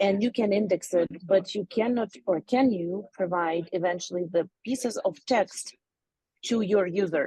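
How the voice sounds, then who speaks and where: A woman speaks in a non-native accent at a fairly slow pace. Her tone is dark and mellow. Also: medium pitch for a woman, ordinary pitch variation, dry, close sound with no echo. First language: not English. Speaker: audience member asking a question. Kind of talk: Q&A question. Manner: halting.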